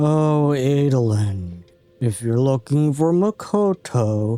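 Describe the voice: A man performs a put-on character voice with faint music playing behind him.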